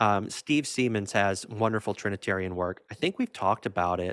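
Recorded very cleanly with a silent background and a dry, close sound with no echo, a man talks at a moderate pace in a fairly low pitch. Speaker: podcast co-host. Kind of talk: casual chat. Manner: animated, jokey.

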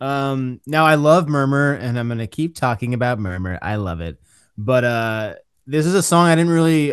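An ordinary speaking voice comes from a man at a moderate pace. His intonation is lively over a quiet background. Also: medium pitch for a man. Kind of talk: casual chat.

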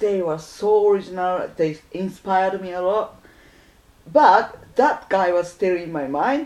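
In a Japanese accent, a woman speaks at a fairly slow pace with a medium pitch and lively intonation. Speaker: musician. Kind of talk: casual chat.

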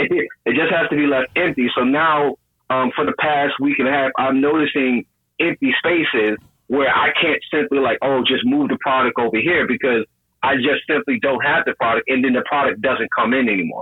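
A man with an unremarkable speaking voice talks at a moderate pace, fairly high in pitch, with ordinary pitch variation and very even loudness. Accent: American. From New York. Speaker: caller, business owner. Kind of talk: casual call-in chat.

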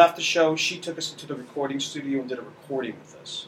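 Noticeable background noise sits behind this recording. A man with an American accent talks at a very fast pace. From US Northeast, central Connecticut. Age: 40s. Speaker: stage actor. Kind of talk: casual chat.

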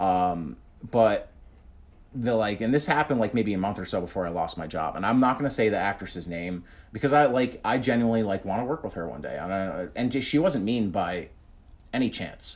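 A man with a New Jersey accent, fairly low in pitch, with lively intonation at a fairly quick pace. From New Jersey, US (Union, central north Jersey). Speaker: comedian and impressionist. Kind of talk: casual chat.

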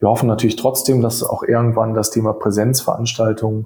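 With a dark, mellow tone and a somewhat breathy quality, a man speaks at a medium pitch and a fairly quick pace in a monotone, flat way. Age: 30s. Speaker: insurtech hub managing director. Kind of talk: podcast interview. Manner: fluent, articulate.

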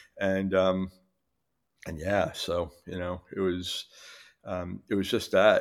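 In a New York accent, the speaker goes at a very slow pace with long, frequent pauses and monotone, flat intonation. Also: man, very deep, low pitch for a man. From New York City, Queens. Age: 60s. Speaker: recovering alcoholic with long-term sobriety. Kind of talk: personal recovery story in casual interview. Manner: halting, many fillers.

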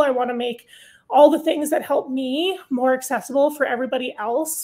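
A woman's high-pitched voice moves at a fairly quick pace, its pitch varying in an ordinary way. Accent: Canadian. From Canada. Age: 30s. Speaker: mountaineer and mental health advocate. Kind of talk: casual interview.

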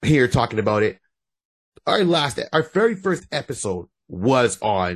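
Set on a very clean recording with a silent background, a man speaks in an animated tone with very wide pitch swings. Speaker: podcast host and comedian. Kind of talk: casual chat.

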